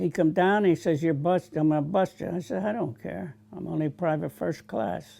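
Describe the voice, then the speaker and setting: A man with a New Jersey accent, fairly high pitch and a dark, mellow tone, lively intonation at a moderate pace with hardly any pauses. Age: 80s+. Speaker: war veteran. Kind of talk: testimony.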